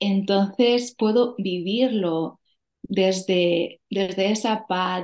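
In a calm tone, a woman speaks at a very slow pace. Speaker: yoga teacher. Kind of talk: interview. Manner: stutter.

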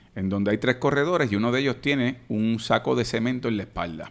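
Here is a man with an ordinary speaking voice in a medium pitch. His pitch variation is ordinary. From Puerto Rico, Caguas. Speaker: senator and lawyer. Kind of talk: casual interview.

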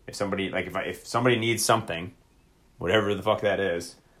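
A man speaks in a plain, everyday voice, fairly low in pitch. His pitch variation is ordinary, and the recording is very clean with a silent background. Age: 30s. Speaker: podcast co-host and army soldier. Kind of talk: casual chat. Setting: live stream on social video app.

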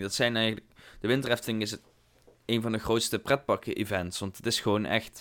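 A man at medium pitch on a very clean recording with a silent background. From Netherlands, not Limburg. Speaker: theme park podcast co-host. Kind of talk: casual chat. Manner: giggly, playful.

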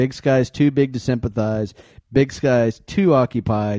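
A plain, everyday voice from a man at medium pitch, with ordinary pitch variation, a dry, close sound with no echo and a quiet background. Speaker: podcast co-host.

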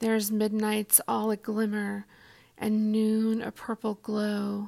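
A woman speaks very slowly in a fairly high pitch, her tone dark, mellow, gentle and warm. Her intonation stays monotone and flat on a very clean recording with a silent background. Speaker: poetry podcast host. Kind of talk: poem reading aloud; reflective monologue intro. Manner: slow, hushed and measured, gentle; warm, sincere, intimate.

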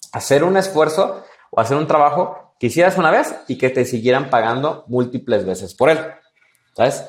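A man speaks at a moderate pace in a plain, everyday voice with lively intonation. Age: 20s. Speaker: entrepreneur and business mentor. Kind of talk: interview.

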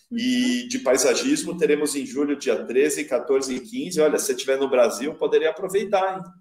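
A man's high voice swings very widely in pitch as he talks at a middling speed. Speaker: landscape designer. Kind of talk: live stream interview. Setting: live stream on social media.

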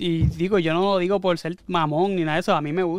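A man talks at a very fast pace with fairly even intonation. His pitch is high for a man. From Puerto Rico. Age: 30s. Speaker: podcast co-host. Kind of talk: casual chat.

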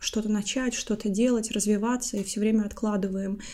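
A woman speaks in a fairly high pitch with a dark, mellow tone, monotone, flat intonation and a moderate pace. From Latvia. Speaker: podcast co-host, IT consultant. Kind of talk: casual chat. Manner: talkative.

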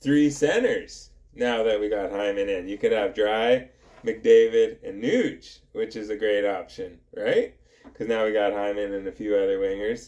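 A man with a plain, everyday voice speaks fairly slowly, his fairly low pitch held in fairly even intonation. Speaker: hockey podcast host. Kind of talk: casual chat.

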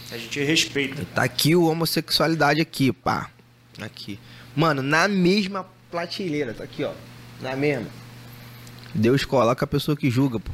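With long, frequent pauses, a man speaks at a moderate pace in a fairly high pitch with ordinary pitch variation. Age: 30s. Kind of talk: casual chat. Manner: animated.

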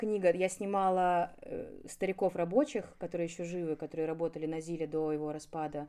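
Very clean recording, silent background, as a woman speaks at a moderate pace. Her pitch is fairly low with ordinary variation, and her tone is dark and mellow. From Moscow, Russia. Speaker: photographer. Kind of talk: casual chat.

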